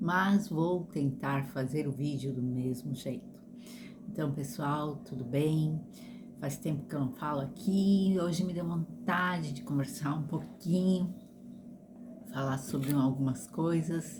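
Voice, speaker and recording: Amid audible room echo and noticeable background noise, a woman with a very deep, low voice speaks very slowly with lively intonation. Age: 60s. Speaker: vlogger. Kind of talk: casual monologue. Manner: halting.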